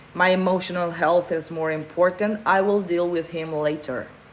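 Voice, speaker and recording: A non-native accent at a moderate pace, monotone and flat, over noticeable background noise. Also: woman. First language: not English. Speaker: manifestation coach. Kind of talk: live Q&A answering chat. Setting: livestream.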